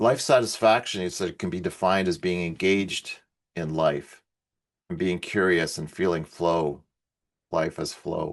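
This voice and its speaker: At a fairly slow pace, a man speaks with a very deep, low pitch and ordinary pitch variation against a quiet background. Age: 60s. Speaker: researcher presenting on well-being. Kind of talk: conference presentation. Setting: online event. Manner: halting, with fillers.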